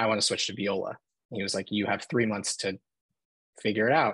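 A man with an American accent and fairly low pitch, fairly even intonation, and dry sound with no echo against a quiet background. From Philadelphia. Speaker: film photographer; podcast guest. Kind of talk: casual chat. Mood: relaxed, friendly. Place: home room. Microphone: video call.

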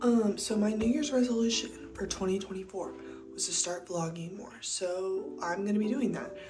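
A woman talks at a moderate pace. Music sounds clearly behind her. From Texas. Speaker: lifestyle vlogger. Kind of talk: casual vlog talk to camera. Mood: upbeat, relaxed. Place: home room. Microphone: phone near.

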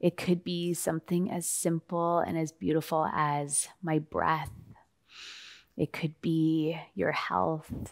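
A soft-spoken woman talks at a very slow pace in a calm, soothing tone, her voice very deep and low with fairly even intonation. The background is quiet. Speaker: meditation guide. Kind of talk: guided meditation. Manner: calm, slow, soothing; soft-spoken, gentle pacing. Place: studio.

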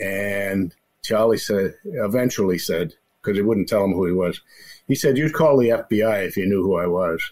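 Using a normal speaking voice with ordinary pitch variation, a man keeps a moderate pace and a fairly low pitch. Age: 60s. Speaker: retired federal arson investigator. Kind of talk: interview storytelling.

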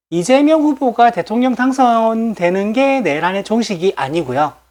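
At a fairly slow pace, a woman speaks in a fairly high pitch with very wide pitch swings. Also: very clean recording, silent background. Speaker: political YouTuber. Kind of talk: casual monologue to viewers. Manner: frequent laughter, chatty.

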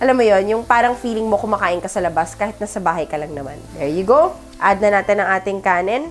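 A woman speaks with ordinary pitch variation as faint music plays in the background. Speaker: home cook vlogger. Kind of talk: cooking tutorial. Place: kitchen. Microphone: lapel.

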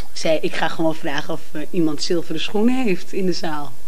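Her pitch shows ordinary variation. This woman keeps to a moderate pace. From Amsterdam, Netherlands. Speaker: singer and cabaret performer. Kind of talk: interview. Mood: warm, laughing at times. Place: home room. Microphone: handheld.

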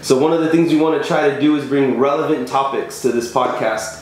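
A man's voice with audible room echo. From Texas. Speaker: pipeline integrity engineer and podcast co-host. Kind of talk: casual chat. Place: office.

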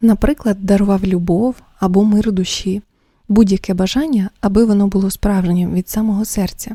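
Pitch stays fairly even as someone reads aloud in a natural voice.

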